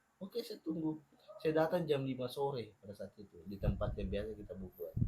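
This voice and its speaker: A man with a Papuan accent talks at a fairly quick pace in a fairly high pitch. His pitch swings very widely and his loudness rises and falls sharply. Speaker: podcast guest. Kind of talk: casual chat. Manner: animated.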